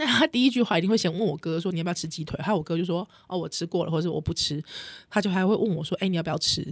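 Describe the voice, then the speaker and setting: Speaking at a very fast pace, a woman uses a fairly low voice with ordinary pitch variation. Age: 30s. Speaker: podcast host. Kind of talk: casual chat.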